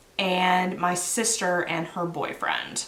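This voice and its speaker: A woman in a Canadian accent at medium pitch and a very slow pace, with noticeable background noise and audible room echo. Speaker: knitting podcaster. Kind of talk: casual chat.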